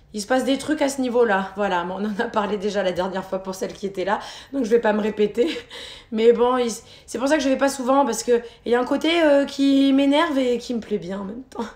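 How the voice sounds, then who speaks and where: Noticeable noise fills the background. Over it, a woman talks in a fairly high voice. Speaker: fitness instructor. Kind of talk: live workout class. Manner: casual, talkative.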